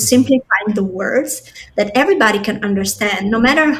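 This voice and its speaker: This woman's fairly high voice carries through noticeable background noise. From Albania. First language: non-English. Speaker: product designer. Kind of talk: podcast interview.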